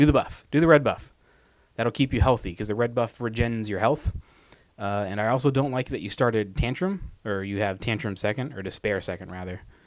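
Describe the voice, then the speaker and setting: The recording is very clean with a silent background. A man speaks at a medium pitch with ordinary pitch variation. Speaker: video game coach. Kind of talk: tutorial. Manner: fast; casual.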